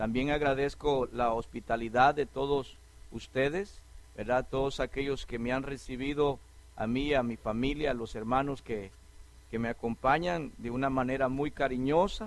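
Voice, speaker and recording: Speaking in a plain, everyday voice, a man holds a medium pitch, a moderate pace and fairly even intonation. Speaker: preacher. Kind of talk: sermon.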